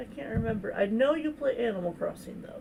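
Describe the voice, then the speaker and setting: A soft-spoken woman with a fairly high pitch uses lively intonation over noticeable background noise. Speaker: streamer doing live coloring. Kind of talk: casual live stream chat. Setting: live stream.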